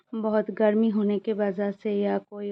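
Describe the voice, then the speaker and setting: A woman's medium-pitched, monotone, flat voice with a Bengali accent. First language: Bengali (speaking Hindi). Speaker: vlogger, mother. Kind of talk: personal daily vlog. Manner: halting, many fillers.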